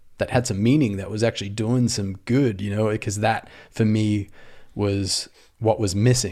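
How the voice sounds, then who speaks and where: At a moderate pace and with fairly even intonation, the speaker uses an Australian accent on a very clean recording with a silent background. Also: man, fairly low pitch for a man. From rural Australia. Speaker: startup founder. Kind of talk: casual interview.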